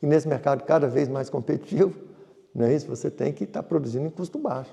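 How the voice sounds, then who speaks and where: This man talks at a very fast pace with a fairly high pitch, ordinary pitch variation, vocal fry and a dark, mellow tone. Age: 60s. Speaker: farmer and businessman. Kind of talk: interview.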